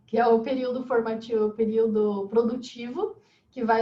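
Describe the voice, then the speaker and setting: This is a woman speaking. Her pace is moderate. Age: 30s. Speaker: holistic therapist. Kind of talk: interview.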